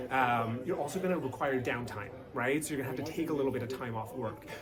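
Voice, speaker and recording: A man speaks with a Canadian accent at medium pitch with ordinary pitch variation. Noticeable background noise and audible room echo surround him. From Canada. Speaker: company spokesperson. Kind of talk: interview. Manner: casual, conversational with frequent fillers.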